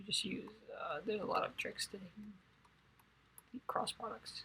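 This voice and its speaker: Quiet and fairly quick, a woman speaks with a bright, sharp tone. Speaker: math and physics tutor. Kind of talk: tutorial. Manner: monotone.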